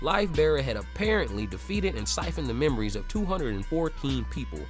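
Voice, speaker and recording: Music plays in the background. Over it, a man speaks at a fairly quick pace. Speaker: anime analysis commentator. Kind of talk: video essay narration.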